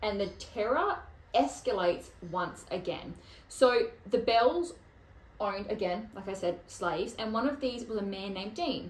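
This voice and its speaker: With an Australian accent, a woman speaks at a moderate pace in a fairly high pitch, her tone animated and her intonation lively, with audible room echo around her. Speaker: podcast host. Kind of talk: casual chat.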